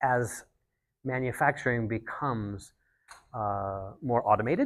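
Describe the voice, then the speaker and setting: At a fairly slow pace, a man speaks at a medium pitch with ordinary pitch variation on a very clean recording with a silent background. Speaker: climate tech banker. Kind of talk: panel discussion. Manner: soft-spoken; halting.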